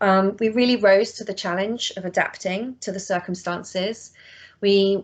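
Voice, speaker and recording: With a British accent, a woman talks in a flat, monotone way over a quiet background. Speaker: education practitioner presenting her organisation. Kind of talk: online presentation. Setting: online session. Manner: fast.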